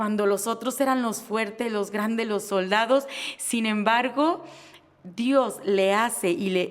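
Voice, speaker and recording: Her pitch sits fairly high for a woman. She talks at a very slow pace. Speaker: podcast host. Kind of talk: casual interview chat.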